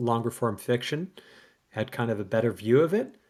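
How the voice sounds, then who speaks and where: A man with a Canadian accent speaks at a medium pitch. The recording is very clean, with a silent background. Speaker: podcast co-host. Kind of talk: casual chat. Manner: animated.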